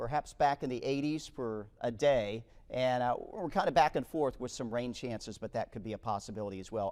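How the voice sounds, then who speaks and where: A man with an ordinary speaking voice talks at a fairly quick pace, hardly pausing. His pitch is medium, with ordinary pitch variation. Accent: American. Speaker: broadcast meteorologist. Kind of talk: TV weather forecast.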